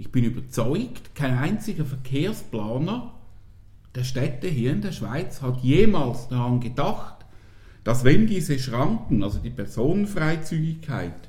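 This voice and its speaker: Speaking very slowly, a man uses lively intonation at a medium pitch. Audible room echo surrounds his voice. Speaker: podcast guest. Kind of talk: casual chat.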